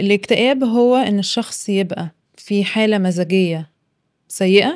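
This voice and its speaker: A woman speaks with an Egyptian accent at a medium pitch. Her pace is fairly slow, and her pitch variation is ordinary. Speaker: psychologist podcast co-host. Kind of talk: casual chat.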